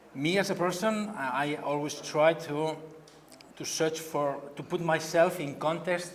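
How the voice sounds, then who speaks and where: A man speaks with a Catalan accent at a fairly slow pace, his pitch fairly high. Audible room echo surrounds the voice. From Spain, Barcelona. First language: Spanish or Catalan. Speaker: painter. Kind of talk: artist talk. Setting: gallery event with audience. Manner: halting.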